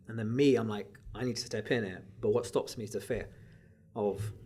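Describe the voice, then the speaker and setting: At a very fast pace, a man talks in a somewhat breathy voice with a dark, mellow tone. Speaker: podcast host and coach. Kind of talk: casual chat. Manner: soft-spoken.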